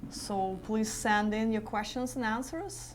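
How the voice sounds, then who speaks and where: A woman speaks in a fairly high pitch with ordinary pitch variation. Audible room echo surrounds her voice. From Eastern Europe. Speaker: travel coordinator and tour leader. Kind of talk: live web cast Q&A chat.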